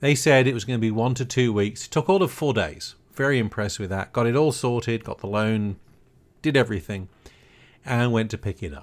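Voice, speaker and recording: A man with a British accent speaks at a medium pitch and a moderate pace. His intonation is lively, and the recording is very clean with a silent background. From Britain. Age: 60s. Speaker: podcast host, retired broadcast engineer. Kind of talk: casual podcast monologue.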